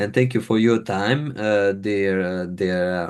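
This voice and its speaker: A man speaks with a non-native accent and a fairly low pitch. The background is quiet. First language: not English. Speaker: podcast host. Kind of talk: interview podcast. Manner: halting.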